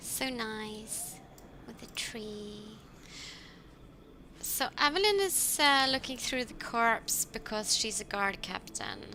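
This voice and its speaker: Soft-spoken and fairly high-pitched, a woman talks at a very slow pace with long, frequent pauses, ordinary pitch variation and big swings in loudness. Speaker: let's play gamer. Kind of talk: gameplay commentary. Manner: halting.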